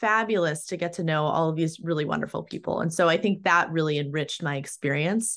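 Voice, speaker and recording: With an American accent and a normal speaking voice, a woman talks at a fairly low pitch with ordinary pitch variation against a quiet background. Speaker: employment litigation attorney. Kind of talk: casual interview chat.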